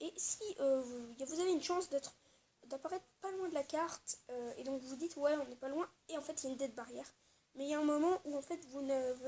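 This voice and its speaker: Speaking at a fairly quick pace, a woman with a high pitch uses ordinary pitch variation. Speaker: gaming youtuber. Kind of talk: gameplay tutorial. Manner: fast; hesitant, many fillers.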